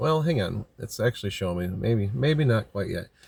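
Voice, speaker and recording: Somewhat breathy, a man speaks with lively intonation in a dry, close sound with no echo, on a very clean recording with a silent background. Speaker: tarot reader. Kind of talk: tarot reading monologue. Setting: outdoors by a lake. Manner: fast.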